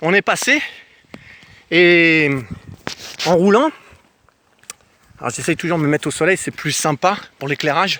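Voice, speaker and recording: With a high pitch and ordinary pitch variation, a man talks at a moderate pace. The sound is dry and close, without echo. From France, grew up in a housing estate (cité). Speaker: travel vlogger. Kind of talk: casual vlog storytelling. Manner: animated.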